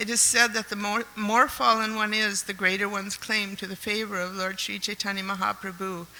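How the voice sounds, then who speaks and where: A woman talks with hardly any pauses. Noticeable background noise runs beneath her. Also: medium pitch for a woman, fairly even intonation. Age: 70s. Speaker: devotee reading a homage. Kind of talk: reading aloud. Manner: halting.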